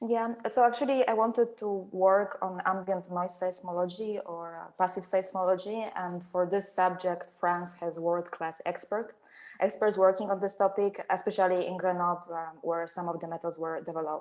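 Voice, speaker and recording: A woman with a Polish accent speaks at a moderate pace with hardly any pauses. Her pitch is medium and her intonation fairly even, but her loudness swings widely. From Poland. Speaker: seismologist, postdoctoral researcher. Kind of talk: webinar panel talk.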